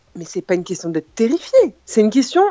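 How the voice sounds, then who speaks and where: A woman is speaking. Her pitch swings very widely. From Apulia, Italy. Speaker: guest responding to host. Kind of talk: heated debate.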